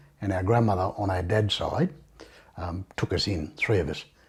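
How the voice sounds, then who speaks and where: At a moderate pace, a man speaks in a very deep, low, somewhat breathy voice with ordinary pitch variation. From Australia, Condobolin, New South Wales. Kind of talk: interview testimony. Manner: hesitant, many fillers.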